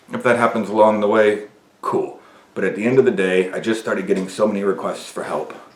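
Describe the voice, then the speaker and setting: Through audible room echo and noticeable background noise, a man talks at a very fast pace. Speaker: men's coach and video podcaster. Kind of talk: motivational monologue. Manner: gets louder and ranting when passionate.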